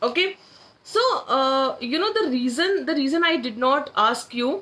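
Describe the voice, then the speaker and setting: Raising and projecting her high-pitched voice, a woman speaks at a fairly slow pace with lively intonation and a bright, sharp tone. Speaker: manifestation coach. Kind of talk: live-stream workshop. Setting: social media live stream. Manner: loud.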